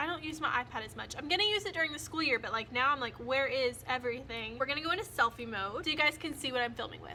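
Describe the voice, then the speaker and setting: A woman speaks very fast in a high pitch with lively intonation and hardly any pauses, over noticeable background noise. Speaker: first year teacher. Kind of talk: casual talk to camera.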